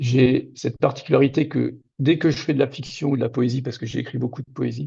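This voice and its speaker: Vocal fry marks the monotone, flat delivery at a fairly quick pace. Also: man, medium pitch for a man. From Moselle-Est, Lorraine, France. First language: Lorraine Franconian (Platt) (speaking French). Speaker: novelist. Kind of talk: interview. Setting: video call.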